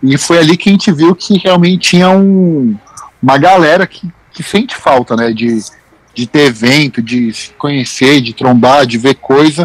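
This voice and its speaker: A man's normal speaking voice, fairly high in pitch with lively intonation, in a dry, close sound with no echo. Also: fairly slow pace. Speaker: sneaker news writer. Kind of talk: casual chat.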